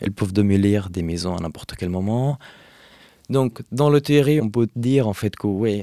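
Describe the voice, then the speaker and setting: A man with an Arabic accent speaks at a moderate pace with ordinary pitch variation and a dark, mellow tone, in a very clean recording with a silent background. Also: dry, close sound with no echo. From Hebron, West Bank, Palestine. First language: Arabic (speaking French). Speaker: Palestinian activist. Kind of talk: interview. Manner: halting, many fillers.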